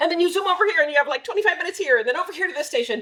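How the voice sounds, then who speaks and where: A woman talks while noticeable background noise runs underneath. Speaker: children's ministry director. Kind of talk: volunteer training briefing. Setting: church. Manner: fast.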